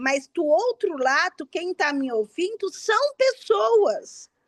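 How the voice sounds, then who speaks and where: In an animated tone, a woman's voice makes very wide pitch swings, the sound dry and close with no echo. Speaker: witch, author and event organizer. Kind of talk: interview.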